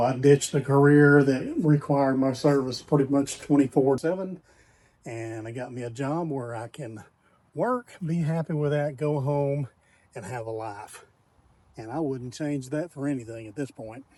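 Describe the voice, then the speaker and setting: With a Texan accent, a man speaks at a moderate pace in a dark, mellow tone, his loudness swinging widely. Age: 50s. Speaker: RV park host. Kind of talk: personal reflection.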